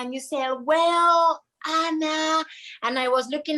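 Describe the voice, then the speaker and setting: A woman's raised, projected voice with a Spanish accent, a bright, sharp tone, fairly even intonation and a fairly slow pace. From Argentina. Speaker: triathlete. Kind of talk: casual chat.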